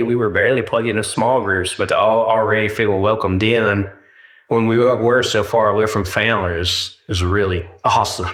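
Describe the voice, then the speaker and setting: Against a quiet background, a man talks at a fairly quick pace with an American accent. His medium pitch stays fairly even in intonation. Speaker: churchgoer giving testimony. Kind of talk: testimony. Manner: halting.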